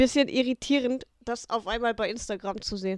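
At a moderate pace, a woman speaks in an ordinary speaking voice with a fairly high pitch. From Münsterland / Ostwestfalen-Lippe, Germany. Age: 20s. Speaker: comedian. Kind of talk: casual chat.

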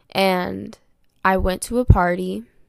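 A woman's fairly low-pitched voice on a very clean recording with a silent background. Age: 20s. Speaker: podcast host. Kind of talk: personal testimony.

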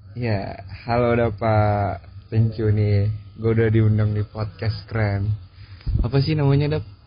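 A man's fairly low voice, very slow and very even in loudness, with fairly even intonation over noticeable background noise. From Batam, Indonesia. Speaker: university student leader. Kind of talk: casual podcast interview.

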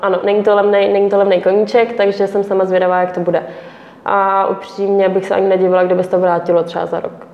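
Amid noticeable background noise, a woman at medium pitch talks at a very fast pace in a monotone, flat way. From Czech Republic, Pardubice. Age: 20s. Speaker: motocross rider. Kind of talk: interview.

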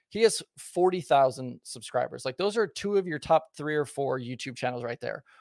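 A man with an American accent and a plain, everyday voice speaks at a fairly high pitch and a moderate pace, with hardly any pauses and a dry, close sound with no echo. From Southern Oregon, US. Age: 30s. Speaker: former pit crew member, racing content creator. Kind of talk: casual chat.

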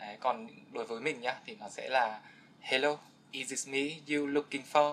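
A man with an unremarkable speaking voice, fairly high pitch, ordinary pitch variation, big swings in loudness and a fairly slow pace. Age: 20s. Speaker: podcast guest, young office worker. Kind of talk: casual interview chat.

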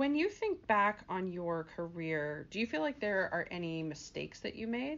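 With hardly any pauses, a woman speaks at a moderate pace and medium pitch with very wide pitch swings. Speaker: career coach and podcast host. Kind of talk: interview. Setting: radio studio.

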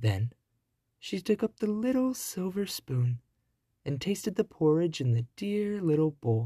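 A soothing, gentle tone moves at a fairly slow pace. The background is quiet. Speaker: bedtime story narrator. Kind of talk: fairy-tale narration, bedtime story read aloud. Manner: slow, soothing, gentle storyteller pacing.

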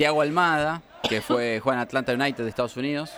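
Speaking very rapidly, a man uses normal variation in pitch. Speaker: radio host. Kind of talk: casual chat.

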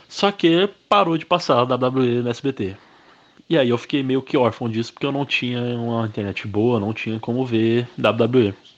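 A man talks at a fairly slow pace in a medium pitch. His pitch varies in an ordinary way, and the background is quiet. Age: 20s. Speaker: professional wrestler. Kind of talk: interview monologue. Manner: casual, conversational.

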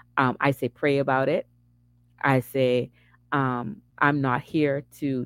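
A woman's very deep, low voice at a very slow pace, in a dry, close sound with no echo. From Bahamas (Nassau). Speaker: faith vlogger and massage therapist. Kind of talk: casual testimony monologue. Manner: halting, many fillers.

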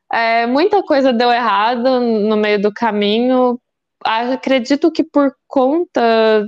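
The voice belongs to a woman. No echo is heard, and the sound is dry and close. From Brazil, Goiânia. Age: 20s. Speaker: biologist, doctoral student, cancer survivor. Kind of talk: testimony.

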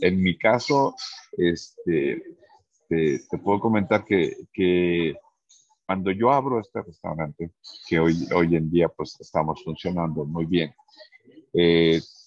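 With a very deep, low pitch, a man talks at a very slow pace using ordinary pitch variation. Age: 50s. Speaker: restaurant owner. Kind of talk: interview. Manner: halting, many fillers and repetitions.

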